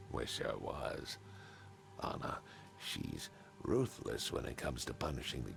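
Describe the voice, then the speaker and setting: A man's put-on character voice at a moderate pace, broken by long, frequent pauses. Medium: video game.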